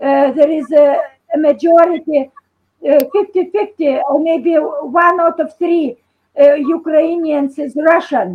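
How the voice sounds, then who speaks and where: A woman with a Lithuanian accent speaks in a high voice. Her pace is very slow. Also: ordinary pitch variation. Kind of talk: video call discussion. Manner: halting.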